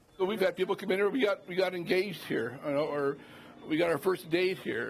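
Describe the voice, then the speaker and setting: Noticeable background noise runs under a man's very fast speech. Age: 60s. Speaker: restaurant owner interviewed for local news. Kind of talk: interview answer.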